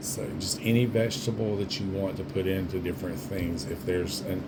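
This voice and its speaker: Through audible room echo and noticeable background noise, a man speaks at a moderate pace with fairly even intonation. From US South. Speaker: home cook, former food service worker. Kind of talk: cooking tutorial. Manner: casual, conversational.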